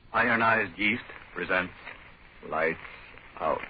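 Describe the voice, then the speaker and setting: The pace is moderate. A man talks with noticeable background noise present. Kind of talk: old-time radio show opening announcement.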